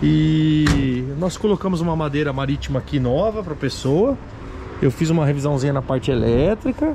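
A man is heard over noticeable background noise. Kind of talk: casual sales walkaround commentary. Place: street. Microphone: phone near.

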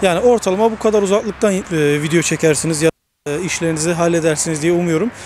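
With a high pitch and ordinary pitch variation, a man talks at a fairly quick pace. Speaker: tech reviewer and photographer. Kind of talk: product review tutorial. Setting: outdoors by a six-lane road.

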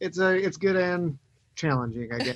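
A man talks with ordinary pitch variation. The sound is dry with no echo, and the background is quiet. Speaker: remote guest. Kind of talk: interview answer. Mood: relaxed, reflective. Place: home room. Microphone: video call.

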